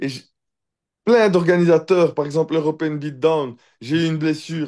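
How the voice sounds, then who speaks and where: Against a quiet background, a man with a Brussels accent speaks at a moderate pace in a fairly high voice with ordinary pitch variation. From Belgium, Brussels (Neder-Over-Heembeek). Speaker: professional MMA fighter. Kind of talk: casual interview. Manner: hesitant, many fillers.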